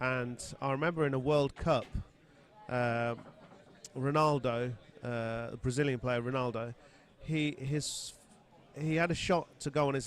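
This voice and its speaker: Here is a man with an English accent and a fairly high pitch. His intonation stays fairly even. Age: 50s. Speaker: pool player and commentator. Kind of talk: casual chat. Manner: halting.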